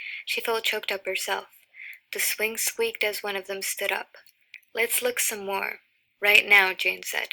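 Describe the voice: What we hear is plain reading aloud.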